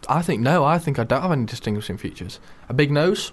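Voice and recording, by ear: A man speaks quickly at a medium pitch, with lively intonation.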